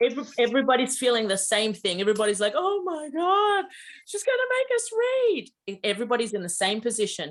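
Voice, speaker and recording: A woman talks at a fairly quick pace with lively intonation. She has an ordinary speaking voice. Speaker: mediumship teacher. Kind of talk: online class instruction. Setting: video call.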